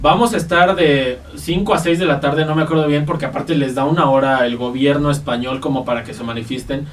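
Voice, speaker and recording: The speech runs fairly quickly with hardly any pauses and ordinary pitch variation. Noticeable background noise and audible room echo fill the recording. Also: man, fairly high pitch for a man. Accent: Mexican. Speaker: podcast co-host. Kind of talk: casual chat.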